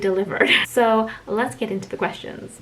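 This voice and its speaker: A woman with a fairly high voice speaks at a very fast pace with fairly even intonation. Noticeable background noise runs underneath. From Greece, raised from age eight, born in Melbourne. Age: 30s. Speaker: vlogger, stay-at-home mom. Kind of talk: casual Q and A vlog. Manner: informal.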